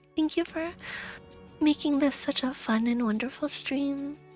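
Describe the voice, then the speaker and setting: Music plays behind a woman with a high-pitched voice. She talks at a moderate pace with fairly even intonation. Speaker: VTuber streamer. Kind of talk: casual talk to stream audience.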